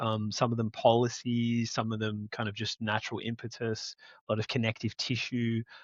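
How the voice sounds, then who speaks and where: The speaker has an Australian accent and a moderate pace. The intonation stays monotone and flat. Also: man. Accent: Australian, noticeable. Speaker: entrepreneur. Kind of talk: interview conversation.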